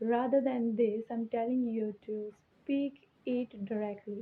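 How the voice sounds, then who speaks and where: A woman speaks with an Indian accent at a fairly slow pace. Her fairly high voice has monotone, flat intonation. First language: Hindi. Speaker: English teacher. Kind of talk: tutorial. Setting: alone in her room.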